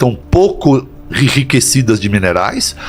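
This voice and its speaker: A man talks while music plays in the background. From Brazil, São Paulo area (Santo André). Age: 60s. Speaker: doctor. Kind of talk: interview.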